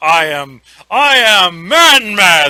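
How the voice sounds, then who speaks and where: A man puts on a character voice, pitched high and swinging very widely up and down. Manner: stilted, with pauses between words.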